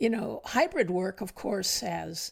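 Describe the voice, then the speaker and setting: On a very clean recording with a silent background, a woman with an American accent speaks at a fairly slow pace. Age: 60s. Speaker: retired intelligence executive. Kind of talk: podcast interview. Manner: hesitant, many fillers.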